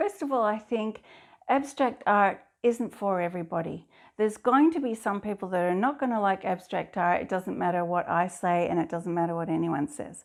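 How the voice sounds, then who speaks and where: In a very clean recording with a silent background, a woman with a slight Scottish accent speaks at a medium pitch and moderate pace with lively intonation. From Scotland. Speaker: abstract artist. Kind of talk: interview monologue. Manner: halting at times.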